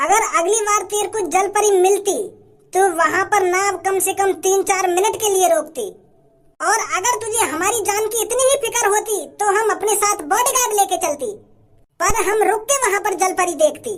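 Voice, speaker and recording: A cartoonish character voice at an extremely high pitch talks at a moderate pace. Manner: polite, generous, deliberate.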